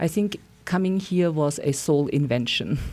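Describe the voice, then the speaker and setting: The speaker has a German accent and ordinary pitch variation. The recording is very clean, with a silent background. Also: woman. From Austria. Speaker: psychotherapist. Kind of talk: interview. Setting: studio.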